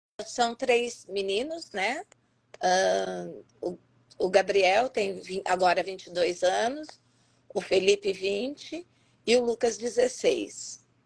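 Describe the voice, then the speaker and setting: Speaking at a very slow pace, a woman with vocal fry uses a medium pitch and ordinary pitch variation. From Campinas, São Paulo state, Brazil. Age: 50s. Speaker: educator. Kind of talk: interview. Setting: online live stream.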